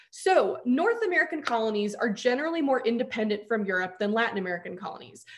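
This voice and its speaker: Against a quiet background, a woman speaks at a very fast pace in a high pitch, her voice making very wide pitch swings. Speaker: history teacher. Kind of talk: live lecture review session. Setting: live stream online. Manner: fast talker. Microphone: video call.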